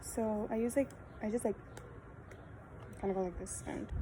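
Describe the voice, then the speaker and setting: The woman keeps a moderate pace while noticeable background noise runs beneath her speech. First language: Spanish. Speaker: beauty vlogger. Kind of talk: casual makeup tutorial. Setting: outdoors in backyard. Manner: chatty, casual.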